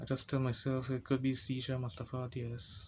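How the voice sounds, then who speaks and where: Delivered at a fairly slow pace, the voice is somewhat breathy, with a monotone, flat intonation. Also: man. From Guyana. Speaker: person living with epilepsy. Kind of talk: personal story told to camera. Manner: slow speech.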